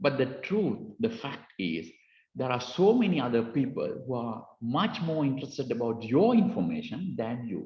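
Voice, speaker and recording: A man with a Sri Lankan accent speaks at a moderate pace in a medium pitch, his voice showing vocal fry. His pitch swings very widely. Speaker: cybersecurity speaker. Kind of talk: lecture. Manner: halting, many fillers.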